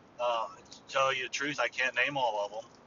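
Over noticeable background noise, a man talks in a monotone, flat intonation. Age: 40s. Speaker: hobbyist podcaster. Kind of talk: casual monologue. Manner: halting, many fillers.

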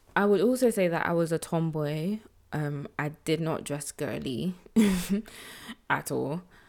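A woman with a low pitch speaks at a fairly slow pace, with vocal fry and ordinary pitch variation, on a very clean recording with a silent background. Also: slightly mellow tone.

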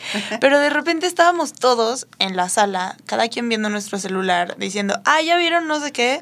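The pace is moderate. Pitch swings are very wide throughout. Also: woman. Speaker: instagram creator. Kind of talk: casual chat.

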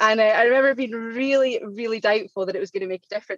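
Speaking very fast in a Scottish accent, a woman shows ordinary pitch variation in a dry, close recording with no echo. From Scotland. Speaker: diabetes coaching client. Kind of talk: podcast interview.

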